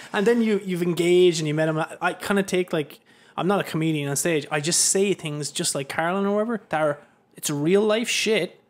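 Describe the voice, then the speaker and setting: A man speaks in an Irish accent at a fairly quick pace. His pitch is high, with ordinary variation. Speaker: podcast host. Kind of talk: casual chat. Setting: studio.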